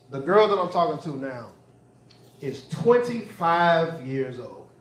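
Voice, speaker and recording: Speaking at a fairly slow pace, a man with a high pitch uses an animated tone and lively intonation, with audible room echo and noticeable background noise. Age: 40s. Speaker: stand-up comedian. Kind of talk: stand-up. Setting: stage with audience.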